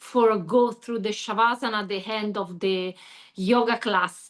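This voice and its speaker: A woman speaks with an Italian accent at a fairly slow pace. Her intonation stays fairly even. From Italy. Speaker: yoga teacher. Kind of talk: Q&A in online training call. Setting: video call. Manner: halting.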